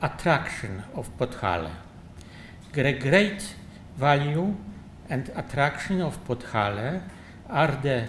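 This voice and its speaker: A man with a Polish accent, somewhat breathy and very slow, with lively intonation and audible room echo. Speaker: architect. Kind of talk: lecture. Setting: conference. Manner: halting.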